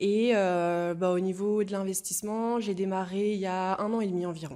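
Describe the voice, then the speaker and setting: A woman with a medium pitch and a dark, mellow tone talks at a moderate pace. Her intonation is monotone and flat, with audible room echo. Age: 20s. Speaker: young stock investor. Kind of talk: interview. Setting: in person, shared small mic. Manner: hesitant, many fillers.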